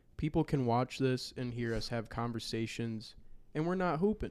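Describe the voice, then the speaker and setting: On a very clean recording with a silent background, a man talks in a normal speaking voice at a fairly slow pace with ordinary pitch variation. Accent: American. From Wisconsin. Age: 20s. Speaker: podcast host and basketball creator. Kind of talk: casual chat.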